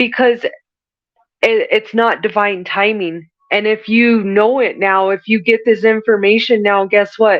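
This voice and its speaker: At a fairly slow pace, a woman speaks in a fairly high pitch with monotone, flat intonation. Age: 40s. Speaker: spiritual medium. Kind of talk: channeled spiritual reading.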